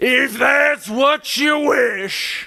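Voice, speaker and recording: Shouting in a put-on character voice, a man reaches an extremely high pitch. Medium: read story. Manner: flat, formal, respectful.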